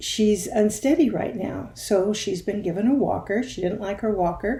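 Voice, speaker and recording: With a dark, mellow tone that is somewhat breathy, a woman speaks at medium pitch and a moderate pace, her pitch varying in an ordinary way. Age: 70s. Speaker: video series host. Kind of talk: personal storytelling. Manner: conversational.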